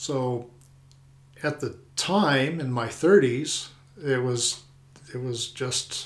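This man has an American accent. His pitch is medium, with ordinary variation. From Colorado. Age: 50s. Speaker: retired air force flyer and local homeowner. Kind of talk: interview.

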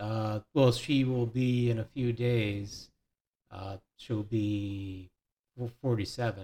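Speaking very slowly with an American accent, a man has a dark, mellow tone and a somewhat breathy voice. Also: medium pitch for a man, fairly even intonation. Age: 30s. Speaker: podcast guest. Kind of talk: casual chat. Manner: halting.

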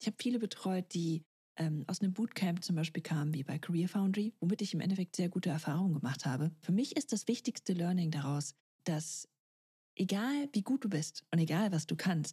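With a dark, mellow tone and a somewhat breathy edge, a woman with a fairly low voice talks fairly quickly, her intonation lively and her loudness very even, in a dry, close sound with no echo. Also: very clean recording, silent background. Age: 30s. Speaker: podcast host and career coach. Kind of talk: solo podcast monologue.

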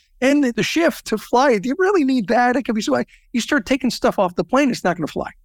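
In a Californian accent, a man speaks at a very fast pace with an extremely high pitch. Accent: General American (Californian). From US, Southern California. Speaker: business networking organization founder. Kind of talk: interview.

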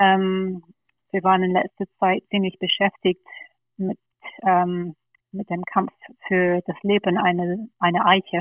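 A woman with a slight English accent speaks at a very slow pace with long, frequent pauses. Her medium-pitched voice is monotone, with flat intonation. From England, London. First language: English (speaking German). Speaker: party board candidate. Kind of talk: podcast interview.

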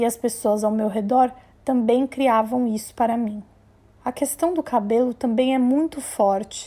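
A woman speaks at a fairly slow pace with fairly even intonation. Her pitch is high and her tone dark and mellow. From Brazil, Maranhão (São Luís). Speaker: journalist and podcast host. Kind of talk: personal narration.

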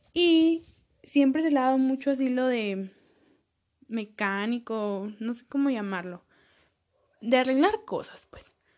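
A woman with a Mexican accent speaks at a fairly slow pace, her voice high and animated. Her intonation is lively, broken by long, frequent pauses. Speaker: podcaster. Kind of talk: casual monologue. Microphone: sometimes far from the mic.

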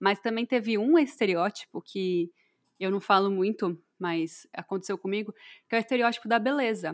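On a very clean recording with a silent background, a woman in a normal speaking voice talks at medium pitch and a moderate pace with ordinary pitch variation. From Brazil. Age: 20s. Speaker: podcast co-host. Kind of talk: casual chat.

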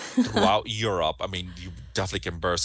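A man speaks with a bright, sharp tone and vocal fry. Behind him the background is quiet. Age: 40s. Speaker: cruise line sales director. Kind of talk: interview.

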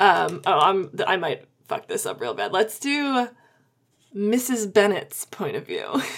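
A woman's medium-pitched voice with vocal fry, a fairly slow pace, and long, frequent pauses. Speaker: podcast host and author. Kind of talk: casual chat about writing craft.

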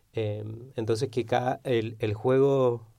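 A man's dark, mellow tone with monotone, flat intonation. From Argentina, Neuquén (Patagonia). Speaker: philosopher and game designer. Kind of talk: interview.

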